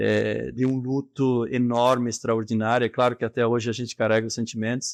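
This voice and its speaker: A man speaks at a fairly quick pace with monotone, flat intonation. The sound is dry and close with no echo, over a quiet background. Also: medium pitch for a man. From southern Brazil, rural. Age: 40s. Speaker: business leader. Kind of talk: interview.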